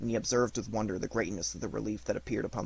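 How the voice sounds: The intonation stays fairly even across a natural reading voice.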